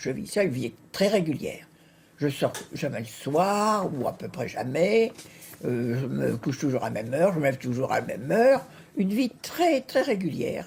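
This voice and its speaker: This woman has a very deep, low pitch with very wide pitch swings and a somewhat breathy sound. She talks at a moderate pace on a very clean recording with a silent background. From Normandy, France (Caen). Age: 90s. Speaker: competitive swimmer. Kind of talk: TV interview.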